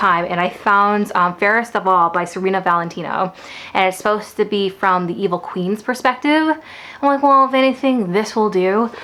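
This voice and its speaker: Noticeable background noise surrounds a woman with an animated tone and medium pitch. She speaks at a fairly quick pace with ordinary pitch variation. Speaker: book vlogger. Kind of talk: casual vlog talk. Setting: at home. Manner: fast.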